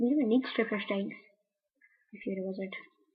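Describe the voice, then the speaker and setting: Here a woman speaks with a Scottish accent at a moderate pace. Her pitch is fairly high and varies in an ordinary way. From Scotland, Greenock near Glasgow. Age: 20s. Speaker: video blogger. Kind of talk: casual chat. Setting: webcam recording.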